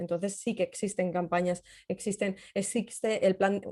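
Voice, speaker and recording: With fairly even intonation, this woman's voice has a dark, mellow tone. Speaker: cybersecurity journalist and trainer. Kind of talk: webinar talk and Q&A. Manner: fast.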